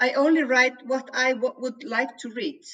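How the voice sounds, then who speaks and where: At a fairly slow pace, a woman speaks in a high pitch with an Icelandic accent. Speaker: crime novelist. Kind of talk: interview.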